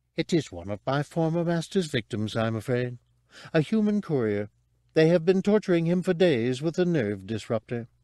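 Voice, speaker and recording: A man's robotic, put-on character voice at a fairly high pitch and moderate pace, over a quiet background. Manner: polite, chatty, prim.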